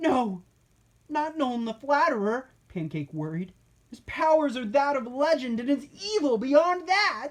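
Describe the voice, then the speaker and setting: A female-sounding voice pitched high, done as a put-on character voice. The pace is moderate. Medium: read story.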